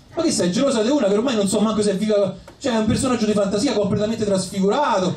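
A man talks at a very fast pace in a high pitch with a slightly mellow tone. His pitch varies in an ordinary way, and there is audible room echo.

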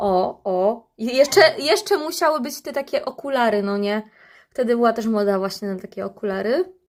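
A woman speaks at a moderate pace in a fairly high pitch with lively intonation and an animated tone. The recording is very clean, with a silent background. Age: 30s. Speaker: vlogger. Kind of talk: casual monologue to camera.

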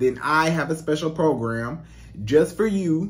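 A fairly slow pace marks this clip. The voice belongs to a man. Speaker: dating coach vlogger. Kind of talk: casual vlog chat. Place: home room. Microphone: studio mic.

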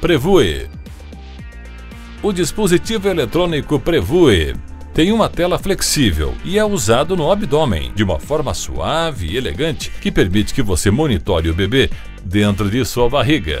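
Music plays in the background as a man speaks at a moderate pace and medium pitch, his voice making very wide pitch swings. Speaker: voice-over announcer. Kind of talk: tech product narration.

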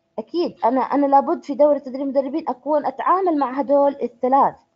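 A woman with a Jordanian accent speaks at a high pitch and a fairly quick pace, with hardly any pauses. Her intonation is lively. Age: 20s. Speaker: trainer. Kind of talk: online introductory training session. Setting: online conference call.

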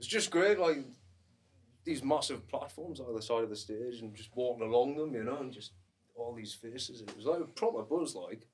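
A man with a plain, everyday voice speaks at a moderate pace, his pitch varying in an ordinary way while his loudness swings widely. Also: medium pitch for a man. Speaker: singer-songwriter. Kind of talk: casual chat.

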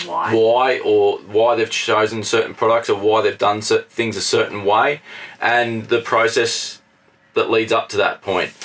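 A man speaks at a fairly slow pace with very even loudness. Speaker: travel vlogger. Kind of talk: casual vlog chat. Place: home room.

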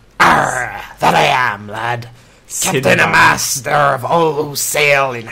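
A man puts on a raspy character voice at a medium pitch. He delivers it at a fairly slow pace. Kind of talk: archaic pirate speech.

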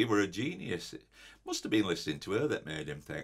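There is vocal fry as a man talks at a very fast pace. The background is quiet. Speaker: comic character. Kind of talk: comedy sketch monologue. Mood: indignant, complaining. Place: office.

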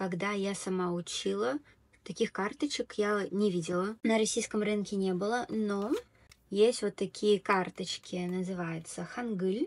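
Rather slow speech from a woman, mid-pitched, the pitch moving in a normal way. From Tatarstan, Russia. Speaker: video blogger and Korean language tutor; video blogger, Korean language tutor. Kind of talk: tutorial. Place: home room. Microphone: earbuds.

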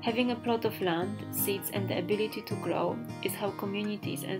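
At a fairly quick pace, a woman talks with music in the background. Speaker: filmmaker and artist. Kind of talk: documentary voiceover narration.

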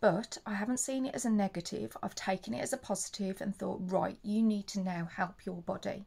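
A woman with an English accent speaks at a fairly quick pace with hardly any pauses. Her medium-pitched voice is somewhat breathy with a dark, mellow tone and ordinary pitch variation. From England. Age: 40s. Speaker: leukaemia patient and vlogger; charity awareness vlogger. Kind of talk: personal testimony vlog. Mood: earnest, upbeat about her illness. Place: home room.

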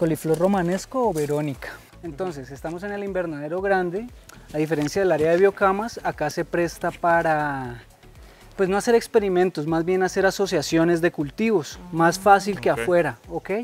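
Faint music plays in the background. The voice has ordinary pitch variation and a dry sound with no echo. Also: man, high pitch for a man, moderate pace. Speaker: farm guide. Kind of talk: guided tour explanation. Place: farm. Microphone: phone near.

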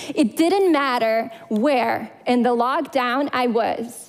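A woman's voice, high in pitch. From Crimea, Ukraine. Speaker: public speaker. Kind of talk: prepared talk. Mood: earnest, emotional. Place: stage. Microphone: headset.

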